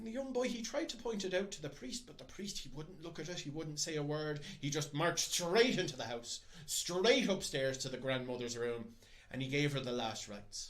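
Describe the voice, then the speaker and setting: Moving at a moderate pace, a man's fairly high voice makes very wide pitch swings and big swings in loudness. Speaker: storyteller. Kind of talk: storytelling, folklore tale told to camera. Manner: narrative, expressive storytelling with dramatic voices.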